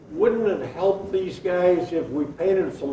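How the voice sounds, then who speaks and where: The man's fairly slow delivery comes with audible room echo and noticeable background noise. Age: 80s+. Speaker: retired car plant worker. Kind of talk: storytelling at a convention session. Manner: halting.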